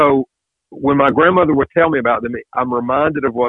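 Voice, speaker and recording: Ordinary pitch variation from a man, fairly quick in pace. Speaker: governor's advisor. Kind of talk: interview.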